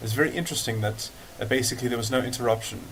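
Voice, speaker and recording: In a room with audible echo, a man speaks fairly quickly in a monotone, flat delivery. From South Africa. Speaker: political commentator vlogger. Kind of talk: casual monologue video response. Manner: halting, many fillers and repetitions.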